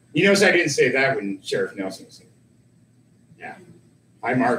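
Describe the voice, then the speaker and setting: Amid noticeable background noise, the speaker moves at a moderate pace, with very wide pitch swings and big swings in loudness. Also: man, fairly high pitch for a man. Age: 50s. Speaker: local talk show host. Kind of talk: casual chat.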